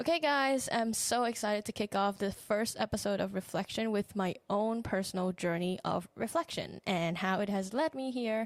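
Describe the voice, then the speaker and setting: A woman speaks at a moderate pace with a Thai accent, a medium pitch and ordinary pitch variation, keeping very even loudness and hardly any pauses. The recording is very clean with a silent background and a dry, close sound with no echo. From Thailand. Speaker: podcast host, relationship coach. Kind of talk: solo podcast reflection.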